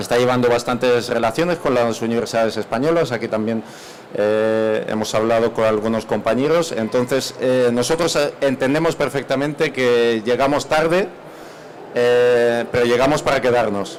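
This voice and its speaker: A man with a medium pitch and ordinary pitch variation talks at a moderate speed, noticeable noise sounding behind him. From Spain, Málaga area. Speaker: university representative. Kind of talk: panel presentation. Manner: halting.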